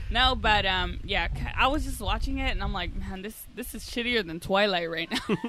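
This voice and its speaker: A woman at a moderate pace, against noticeable background noise. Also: medium pitch for a woman, ordinary pitch variation. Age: 20s. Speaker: podcast guest. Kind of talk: casual chat. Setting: garage.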